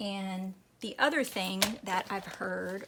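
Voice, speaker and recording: Her voice is at a medium pitch. She speaks in an American accent. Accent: Texan, toned down. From Texas. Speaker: craft youtuber. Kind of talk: casual chat while crafting. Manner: rambling, hesitant with fillers.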